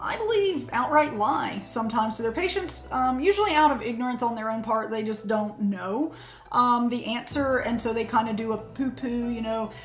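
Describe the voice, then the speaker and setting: A woman speaks at a moderate pace with hardly any pauses. Her pitch varies in an ordinary way, with faint music in the background. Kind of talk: casual educational talk. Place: office. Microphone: phone near.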